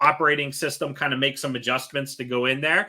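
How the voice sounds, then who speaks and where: His fairly high voice has a bright, sharp tone. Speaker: technical trainer. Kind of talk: tutorial. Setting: live online training.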